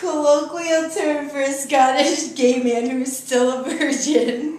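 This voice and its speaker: Over light background noise and audible room echo, a woman speaks at a very slow pace. Her voice is high, with fairly even intonation. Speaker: game player reading definitions. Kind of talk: reading definitions aloud in a family word game. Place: home room. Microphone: camera far.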